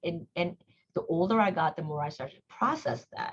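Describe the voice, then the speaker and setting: A somewhat breathy woman with a Korean accent, lively intonation and a moderate pace. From South Korea, then US from age nine. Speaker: nonprofit executive director. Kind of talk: interview, personal reflection. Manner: conversational with frequent fillers.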